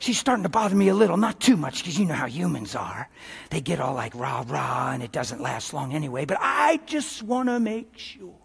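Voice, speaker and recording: A man performs a put-on character voice at a fairly high pitch. He moves quickly, with very wide pitch swings. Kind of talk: live sermon to an audience.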